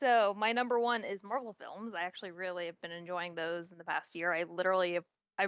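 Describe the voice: A woman speaks with a clear, smooth, fairly bright tone. Her pitch is fairly low, with ordinary variation. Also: dry, close sound with no echo.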